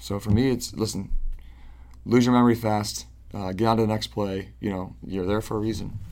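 An ordinary speaking voice with an American accent moves at a fairly quick pace. The intonation stays fairly even. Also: man. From Central New York, Syracuse area. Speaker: professional soccer goalkeeper. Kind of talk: interview.

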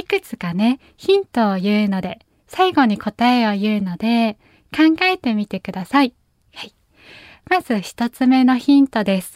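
A woman's gentle, soothing tone at a fairly high pitch and fairly slow pace, with very wide pitch swings and big swings in loudness, dry and close with no echo, on a very clean recording with a silent background. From Japan, Nagasaki. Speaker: pianist and podcast host. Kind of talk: casual chat. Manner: frequent laughter.

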